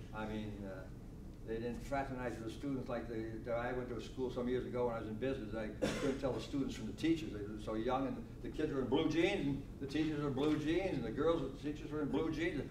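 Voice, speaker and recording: Noticeable background noise and audible room echo fill the recording. A man speaks very fast within it. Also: medium pitch for a man, ordinary pitch variation. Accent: American. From Connecticut. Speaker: elderly local resident. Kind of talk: oral history talk. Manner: loud.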